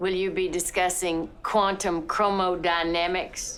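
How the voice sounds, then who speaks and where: A woman's put-on character voice at medium pitch, fairly slow and monotone, flat in intonation, over clear background noise. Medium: short film. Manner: dry, sardonic.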